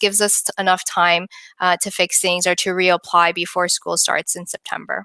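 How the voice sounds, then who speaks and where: A woman speaks in a bright, sharp tone. The sound is dry and close with no echo, and the recording is very clean with a silent background. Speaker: licensed immigration consultant. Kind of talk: live-stream Q&A presentation. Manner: fast; filler-heavy, hesitant.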